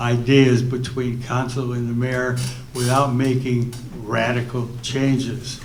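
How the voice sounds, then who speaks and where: Through noticeable background noise and audible room echo, a man at medium pitch speaks at a very slow pace. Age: 80s+. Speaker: resident speaking at public meeting. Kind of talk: public comment at town hall. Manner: halting.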